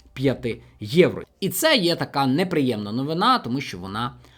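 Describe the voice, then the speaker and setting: Heard on a very clean recording with a silent background, a man with a fairly high pitch talks in a plain, everyday voice with lively intonation. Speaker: finance video blogger. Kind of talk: tutorial.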